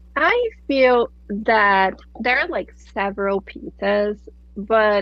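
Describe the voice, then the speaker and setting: With a Brazilian accent, a woman speaks at medium pitch with ordinary pitch variation. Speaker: nonprofit accounting expert. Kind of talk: interview podcast.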